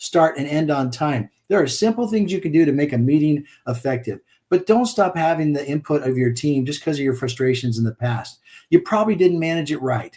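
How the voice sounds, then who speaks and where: At a fairly quick pace, a man speaks in a fairly high, somewhat breathy voice with a dark, mellow tone and lively intonation. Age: 60s. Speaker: business coach. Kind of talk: podcast interview.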